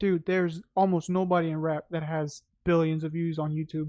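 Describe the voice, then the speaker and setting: Speaking at a fairly quick pace in a Spanish accent, a man uses a high pitch and a flat, monotone intonation. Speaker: podcast host. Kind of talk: casual chat.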